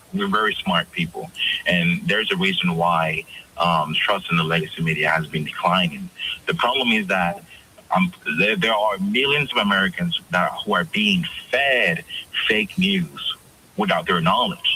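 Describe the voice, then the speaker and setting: Over noticeable background noise, a man with a Dominican accent speaks at a moderate pace and very even loudness. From Dominican Republic. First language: Spanish. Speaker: media editor, guest commentator. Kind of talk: radio interview.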